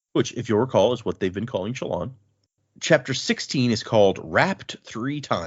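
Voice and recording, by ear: A natural voice reads the text aloud. Behind it, the background stays quiet.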